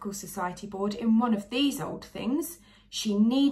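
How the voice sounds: The reading voice is natural, and its pitch varies in an ordinary way.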